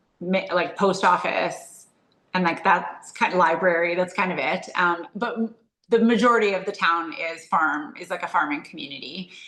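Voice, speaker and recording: A woman with a Canadian Prairie accent speaks at a moderate pace in a medium pitch, her tone bright and sharp and her pitch varying in an ordinary way. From rural Saskatchewan, Canada. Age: 40s. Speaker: entrepreneur. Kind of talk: interview conversation. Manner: casual with fillers.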